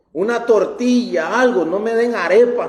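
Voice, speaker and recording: With audible room echo and noticeable background noise, a man talks fairly slowly in a high voice with fairly even intonation. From Costa Rica. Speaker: pastor. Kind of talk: sermon.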